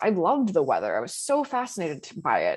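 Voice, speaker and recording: A woman speaks at a moderate pace with a General American accent, her pitch swinging very widely over a quiet background. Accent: General American (Colorado). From Colorado. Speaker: meteorologist. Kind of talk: seminar talk. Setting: seminar presentation.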